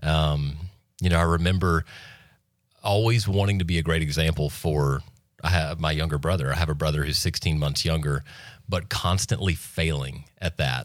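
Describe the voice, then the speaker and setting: This man has a very deep, low pitch and an American accent, with ordinary pitch variation and very even loudness. He speaks at a moderate pace in a very clean recording with a silent background. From US South, Florida Panhandle. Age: 30s. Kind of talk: testimony.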